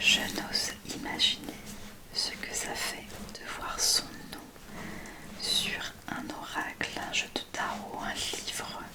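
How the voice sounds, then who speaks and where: A woman whispers at a very slow pace, with long, frequent pauses and big swings in loudness. Noticeable background noise runs behind her. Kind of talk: ASMR unboxing talk to camera. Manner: whispered, soft-spoken.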